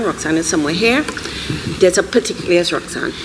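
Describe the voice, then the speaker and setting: A woman with a Trinidadian accent speaks over noticeable background noise. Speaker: animation filmmaker, panelist. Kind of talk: live panel discussion. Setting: stage with audience. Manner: animated.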